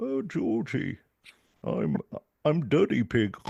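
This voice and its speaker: A man puts on a character voice, speaking fairly slowly at a medium pitch. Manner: comic, exaggerated.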